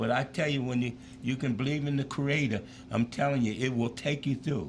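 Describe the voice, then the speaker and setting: A man talks with vocal fry. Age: 70s. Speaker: former pro football player and school teacher. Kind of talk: interview chat. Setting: live show.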